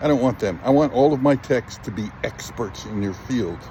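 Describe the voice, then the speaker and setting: Over noticeable background noise, a man at medium pitch speaks at a moderate pace with lively intonation. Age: 60s. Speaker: business owner recruiting electricians. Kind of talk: recruitment pitch. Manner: casual, conversational.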